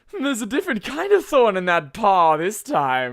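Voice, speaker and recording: A put-on character voice with a theatrical tone, pitched fairly high and swinging very widely, moves at a moderate pace in a very clean recording with a silent background. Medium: read story. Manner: effusive, theatrical.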